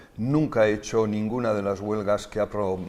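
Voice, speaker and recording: Fairly quick and fairly low in pitch, a man talks in an unremarkable speaking voice. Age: 60s. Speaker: politician and doctor. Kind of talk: interview.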